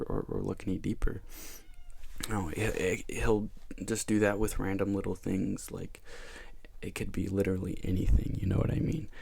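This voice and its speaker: Soft-spoken, a man with a very deep, low pitch and a dark, mellow tone talks at a moderate pace with fairly even intonation. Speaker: ASMR youtuber. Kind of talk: casual ramble.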